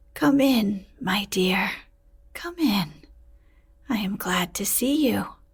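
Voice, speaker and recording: A woman's put-on character voice, raspy and medium in pitch, at a very slow pace with very wide pitch swings and long, frequent pauses. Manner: sweet, welcoming.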